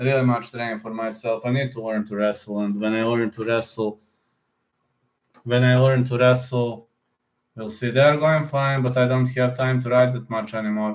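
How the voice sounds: With audible room echo around him, a man speaks in fairly even intonation. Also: medium pitch for a man, moderate pace.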